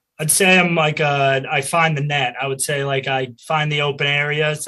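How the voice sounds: A man's bright, sharp tone in a Boston accent, with little pitch movement. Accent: American, Boston.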